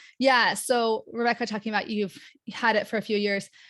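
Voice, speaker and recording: A woman with a General American accent, fairly high pitch and a fairly quick pace. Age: 40s. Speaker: occupational therapist and patient educator. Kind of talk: educational webinar presentation. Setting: online webinar with live chat. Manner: fast; casual, filler-heavy.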